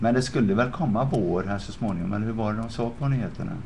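A man with a normal speaking voice at a medium pitch. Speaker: web show host. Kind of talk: live-streamed interview.

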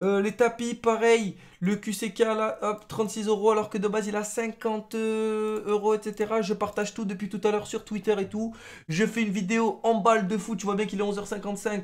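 The background is quiet. A man talks in a high pitch with monotone, flat intonation. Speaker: gaming youtuber. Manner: slangy, casual banter with friends. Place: home room.

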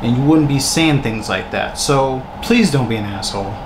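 A man speaks over noticeable background noise. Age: 30s. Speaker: YouTuber. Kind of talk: vlog rant. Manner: animated. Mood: annoyed but measured. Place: home room.

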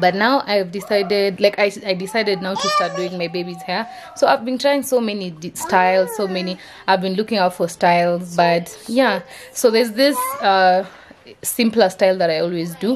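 A woman at a moderate pace, with noticeable background noise behind her. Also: ordinary pitch variation. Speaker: mother vlogger. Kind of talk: casual vlog chat. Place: home room. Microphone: phone near.

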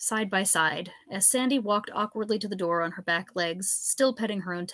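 Unforced reading with ordinary variation in pitch

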